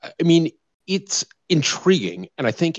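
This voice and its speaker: A man is talking here. His tone is animated. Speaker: podcast host. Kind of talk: casual group chat. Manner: animated, joking.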